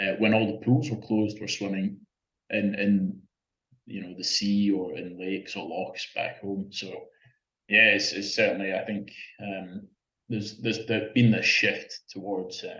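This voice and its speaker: A Scottish-accented man speaks at a moderate pace, with big swings in loudness and long, frequent pauses. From Scotland. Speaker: open-water swimmer. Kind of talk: interview. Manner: halting, many repeated words.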